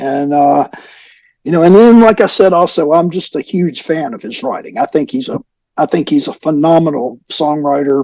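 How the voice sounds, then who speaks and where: A man with a Southern US accent speaks at a moderate pace in a fairly high pitch, his dark, mellow tone and lively intonation caught in a dry, close sound with no echo. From US South, North Alabama. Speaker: rock musician. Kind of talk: interview.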